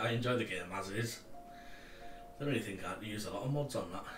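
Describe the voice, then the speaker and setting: A man with a Cumbrian accent speaks at a very fast pace with fairly even intonation. Music plays in the background, and the room echo is audible. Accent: Cumbrian, often mistaken for Scottish. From Cumbria, northern England. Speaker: streaming co-host. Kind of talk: casual chat.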